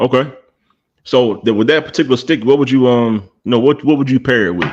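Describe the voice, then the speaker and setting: At a fairly quick pace, a man with an American accent and an ordinary speaking voice talks at a medium pitch, with ordinary pitch variation and very even loudness. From South Carolina, US. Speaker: cigar podcast host. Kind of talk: casual chat.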